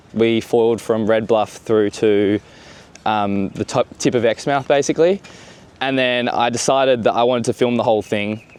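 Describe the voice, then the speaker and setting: The voice has an Australian accent, a moderate pace, fairly even intonation and very even loudness. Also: man, medium pitch for a man. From Western Australia. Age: 20s. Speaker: foiler and filmmaker. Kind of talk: casual interview.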